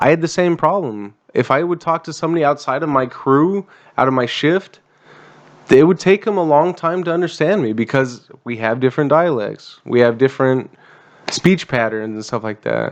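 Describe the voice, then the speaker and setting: Here a man with an unremarkable speaking voice talks at a moderate pace. His pitch is fairly high and his intonation lively. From USA. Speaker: veteran podcast host. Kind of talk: casual chat.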